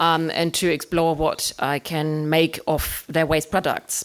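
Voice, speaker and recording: A woman with a German accent speaks at a very deep, low pitch. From Germany. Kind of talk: artist talk presentation. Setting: room with live audience. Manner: hesitant, many fillers.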